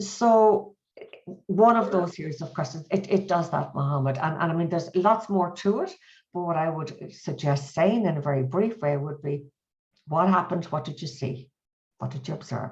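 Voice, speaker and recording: A woman speaks with an Irish accent and ordinary pitch variation. Her voice is somewhat breathy. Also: fairly low pitch for a woman, moderate pace. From Ireland. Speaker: mediation trainer and author. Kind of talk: webinar interview. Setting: video call.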